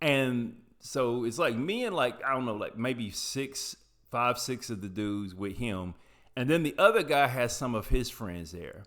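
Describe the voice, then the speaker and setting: Speaking at a fairly slow pace with an American accent, a man uses a medium pitch and lively intonation. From US South, rural Appalachian foothills. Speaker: YouTuber telling personal stories. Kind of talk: personal storytelling monologue. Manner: casual, rambling with self-corrections.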